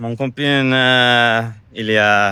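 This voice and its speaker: A man with an English accent speaks in a bright, sharp tone. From US, Minnesota. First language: English (speaking French). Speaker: expat. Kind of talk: casual interview. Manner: halting.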